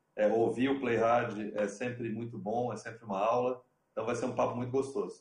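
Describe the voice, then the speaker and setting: Speaking at a fairly quick pace, the man sounds somewhat breathy, and his intonation stays monotone and flat. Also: medium pitch for a man. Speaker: TV sports executive. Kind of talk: online panel discussion. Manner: halting.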